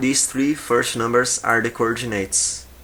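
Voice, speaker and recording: A man speaks with a Portuguese accent. Noticeable background noise is present. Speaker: video game modding tutor. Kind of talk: tutorial. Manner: halting.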